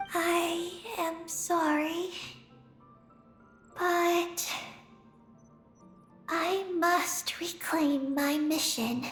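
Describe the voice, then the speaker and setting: With clear music in the background, a female-sounding put-on character voice speaks at an extremely high pitch and a very slow pace, with long, frequent pauses. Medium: video game.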